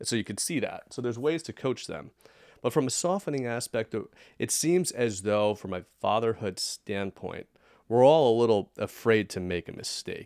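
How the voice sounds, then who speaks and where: A normal speaking voice from a man, medium in pitch and lively in intonation, at a moderate pace, in a very clean recording with a silent background and a dry, close sound with no echo. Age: 30s. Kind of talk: casual chat.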